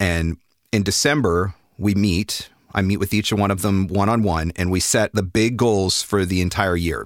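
A normal speaking voice comes from a man with fairly low pitch. His pitch variation is ordinary. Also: dry, close sound with no echo. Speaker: voiceover marketing coach. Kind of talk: interview conversation. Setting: remote call.

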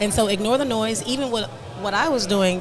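Over noticeable background noise, a woman talks fairly quickly at a fairly high pitch with ordinary pitch variation. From Nigeria. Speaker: media marketing entrepreneur. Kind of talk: interview. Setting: studio.

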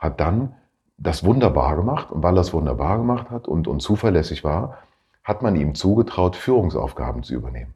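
Speaking at a fairly quick pace, a man with a very deep, low voice and vocal fry swings very widely in pitch. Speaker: career coach and podcast host. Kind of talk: casual solo podcast talk. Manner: halting, many fillers.

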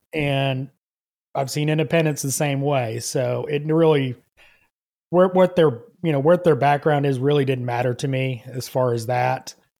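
In a Southern US accent, a man with a fairly high pitch speaks at a moderate pace on a very clean recording with a silent background. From US South, Georgia. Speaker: auto mechanic and content creator. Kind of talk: casual interview chat. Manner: halting, many fillers and restarts.

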